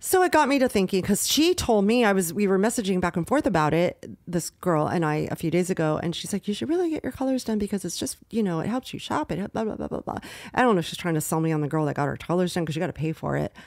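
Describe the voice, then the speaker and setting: With very wide pitch swings and hardly any pauses, a woman at a medium pitch races along at a very fast pace on a very clean recording with a silent background. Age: 60s. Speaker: podcast co-host. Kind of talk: casual chat.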